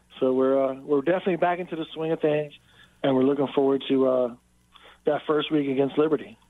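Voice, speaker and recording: A man speaks very fast with a fairly high pitch. His intonation stays fairly even. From Frederick County, Maryland. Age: 50s. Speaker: high school football coach. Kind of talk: radio interview.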